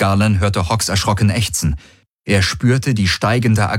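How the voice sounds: Quiet background behind a natural reading voice.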